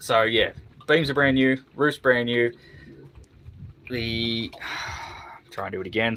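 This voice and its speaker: A man's voice sits at medium pitch. He keeps a moderate pace. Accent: Australian. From Australia. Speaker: boat restoration youtuber. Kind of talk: casual live stream chat. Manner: halting, many fillers.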